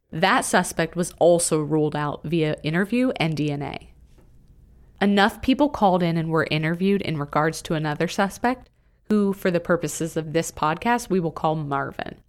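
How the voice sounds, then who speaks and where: A woman's plain, everyday voice at a fairly low pitch and moderate pace, in a very clean recording with a silent background. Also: ordinary pitch variation. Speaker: podcast co-host narrator. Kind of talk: true-crime narration. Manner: measured, serious, even.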